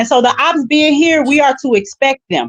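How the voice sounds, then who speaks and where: A loud, high-pitched woman's voice, animated in tone, with lively intonation and a dry, close sound with no echo. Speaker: business owner. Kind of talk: casual panel discussion.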